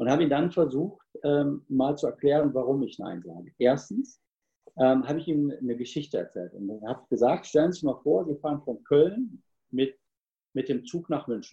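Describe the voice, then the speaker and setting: With lively intonation and a somewhat breathy sound, a man speaks at a moderate pace and a fairly high pitch. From Cologne, Germany. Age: 50s. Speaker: sales trainer and speaker. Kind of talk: interview.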